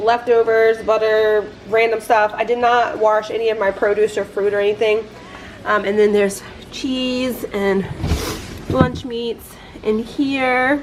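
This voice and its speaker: A woman at a very slow pace, fairly high in pitch, with fairly even intonation, long, frequent pauses and noticeable background noise. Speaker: lifestyle vlogger. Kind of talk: casual vlog narration. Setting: at home. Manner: casual, filler-heavy; quiet, hushed.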